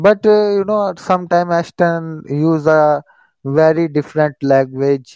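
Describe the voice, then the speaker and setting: Fairly high in pitch with ordinary variation, a man speaks at a fairly slow pace against a quiet background. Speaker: English learner. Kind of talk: casual chat. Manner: halting; excitable.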